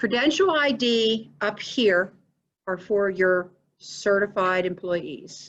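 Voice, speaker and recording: A woman's medium-pitched voice with lively intonation at a very slow pace. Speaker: payroll software trainer; school district treasurer. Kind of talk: training tutorial. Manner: casual.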